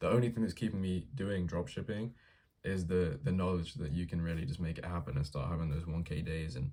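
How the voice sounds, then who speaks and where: Speaking fairly quickly with an English accent, a man with a very deep, low pitch has a dark, mellow tone and ordinary pitch variation. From England. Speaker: vlogger documenting a dropshipping business. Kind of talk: casual vlog monologue. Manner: casual, slangy with filler words.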